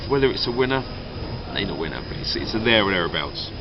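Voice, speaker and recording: Noticeable background noise sits behind a man speaking at a very fast pace with an English accent. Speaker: Eurovision commentator. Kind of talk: casual chat.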